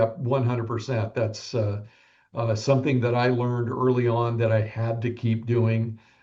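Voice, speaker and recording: A man speaks slowly in a medium pitch, somewhat breathy, his tone dark and mellow and his intonation monotone and flat. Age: 70s. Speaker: real estate broker. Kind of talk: podcast interview.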